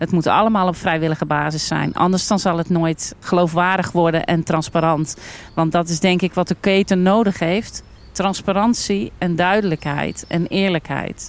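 This woman has a plain, everyday voice with a fairly low pitch and very even loudness. Her intonation is fairly even and her pace moderate. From Netherlands, North Brabant (Almkerk). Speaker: farmer and entrepreneur. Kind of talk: casual discussion. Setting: outdoors at a farm picnic table.

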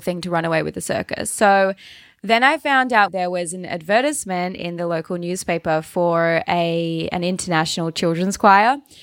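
An Australian accent marks this woman's speech, delivered at a fairly quick pace. Her pitch is medium with ordinary variation, on a very clean recording with a silent background. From Tasmania, Australia. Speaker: travel blogger and entrepreneur. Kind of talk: interview.

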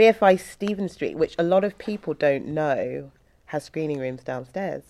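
On a very clean recording with a silent background, a woman with a normal speaking voice and a fairly low pitch talks at a fairly quick pace with lively intonation. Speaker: podcast host. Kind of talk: casual interview chat.

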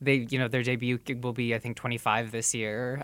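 Medium in pitch, a man speaks at a fairly quick pace in a normal speaking voice. The recording is very clean with a silent background. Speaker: podcast host. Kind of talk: casual chat. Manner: conversational, jokey.

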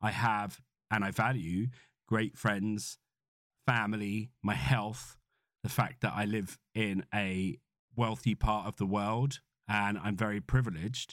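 A man with a fairly low pitch speaks at a fairly slow pace, leaving long, frequent pauses, in a dry, close sound with no echo. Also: ordinary pitch variation, very clean recording, silent background. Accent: British. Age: 40s. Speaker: podcast host, entrepreneur. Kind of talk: solo podcast monologue. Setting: makeshift home office studio.

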